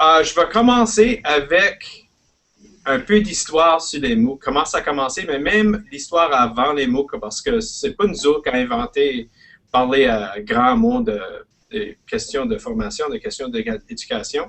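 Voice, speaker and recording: In an Acadian accent, the speaker moves at a fairly slow pace with very wide swings in pitch. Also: man, fairly high pitch for a man. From Prince Edward Island, Canada (Acadian). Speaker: educator and guest speaker. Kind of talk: presentation. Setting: live online webinar. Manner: halting, hesitant.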